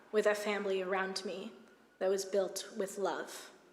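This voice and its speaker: Speaking at a moderate pace with an American accent, a woman uses a medium pitch amid audible room echo. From United States. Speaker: rabbi. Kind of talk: sermon.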